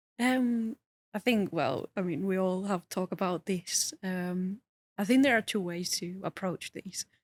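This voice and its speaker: A woman with a non-native accent speaks at a fairly slow pace and a medium pitch with ordinary pitch variation, in a dry, close sound with no echo. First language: not English. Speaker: user researcher. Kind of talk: casual interview chat. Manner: halting, many fillers.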